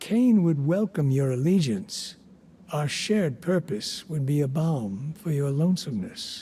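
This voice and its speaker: Putting on a character voice, a man sounds stern at a fairly high pitch. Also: moderate pace. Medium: video game. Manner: measured, formal, stern.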